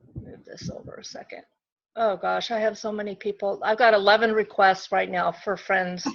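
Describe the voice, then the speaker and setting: This woman has an ordinary speaking voice at a medium pitch, talking at a moderate pace with fairly even intonation and big swings in loudness against a quiet background. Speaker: direct sales consultant training team. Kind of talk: online training session.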